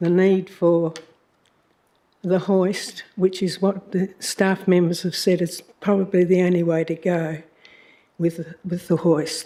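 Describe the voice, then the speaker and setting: A woman with an Australian accent, a dark, mellow tone and a very slow pace. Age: 80s+. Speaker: member of the public. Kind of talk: public statement. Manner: halting.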